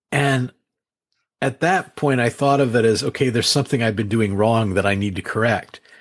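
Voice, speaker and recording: An ordinary speaking voice talks at a fairly quick pace with ordinary pitch variation, set against a quiet background. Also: man, medium pitch for a man. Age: 60s. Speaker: author. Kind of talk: interview.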